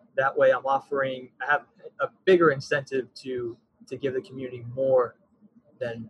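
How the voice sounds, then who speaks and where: Somewhat breathy and with an American accent, the speaker moves at a moderate pace with long, frequent pauses, fairly even intonation and big swings in loudness. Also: man, medium pitch for a man. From Texas (Frisco area). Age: 20s. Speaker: parks and recreation coordinator. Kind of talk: podcast interview.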